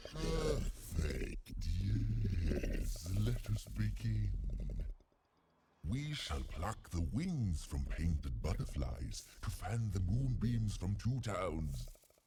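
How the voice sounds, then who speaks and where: Using a put-on character voice, a man speaks very slowly in a very deep, low pitch. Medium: video game. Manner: pompous, theatrical.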